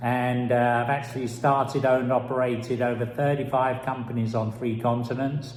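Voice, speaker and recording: A man with a London accent, medium pitch, monotone, flat intonation, and audible room echo. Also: moderate pace. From London, England. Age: old. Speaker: business mentor. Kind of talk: personal introduction.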